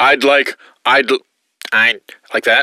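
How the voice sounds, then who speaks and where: The speaker uses a nasal, put-on character voice. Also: man, fairly high pitch for a man. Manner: pretending, testing voice with plugged nose.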